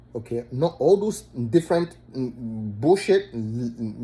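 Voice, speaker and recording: The speaker has an animated tone and a fairly slow pace. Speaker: spiritual commentator. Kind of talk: rant. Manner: halting.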